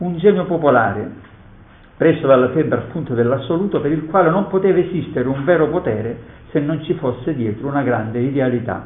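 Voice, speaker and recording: This man has a normal speaking voice, fairly high in pitch, with lively intonation. He talks at a fairly quick pace. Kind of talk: poet reading verse aloud in a lecture. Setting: conference hall. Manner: measured, solemn, declamatory reading of sonnet verse; formal, reflective.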